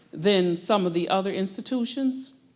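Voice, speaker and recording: A woman speaks at a fairly slow pace. Her medium-pitched voice shows ordinary pitch variation. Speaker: audience member. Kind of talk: audience comment. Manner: loud.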